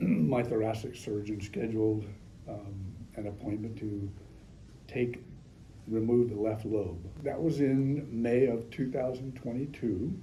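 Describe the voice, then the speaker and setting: In an American accent, a man speaks at medium pitch with a dark, mellow, somewhat breathy tone, ordinary pitch variation, a fairly slow pace and long, frequent pauses, in a room with audible echo. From Northern California. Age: 70s. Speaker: patient. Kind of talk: testimony. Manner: halting, frequent ums.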